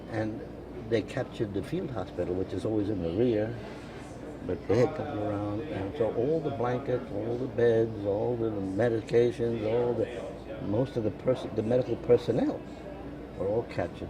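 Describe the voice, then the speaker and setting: Noticeable background noise runs behind the speaker. A man talks with ordinary pitch variation. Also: medium pitch for a man, moderate pace. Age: 80s+. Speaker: war veteran. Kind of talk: interview answer. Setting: coffee shop.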